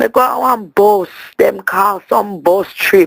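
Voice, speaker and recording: In a Jamaican accent, a woman speaks at a medium pitch. Her intonation is lively and her pace very slow. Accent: Jamaican patois. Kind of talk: voicemail message to a friend. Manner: animated, comedic storytelling.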